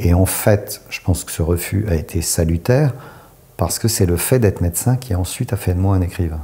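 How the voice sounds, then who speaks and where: This man talks at a moderate pace with a very deep, low pitch. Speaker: author and doctor. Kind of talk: interview. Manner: hesitant.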